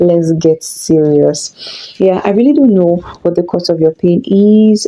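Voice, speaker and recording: Over noticeable background noise, a woman speaks at a fairly slow pace in a fairly low pitch, with ordinary pitch variation and very even loudness. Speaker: relationship coach. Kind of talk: online course introduction.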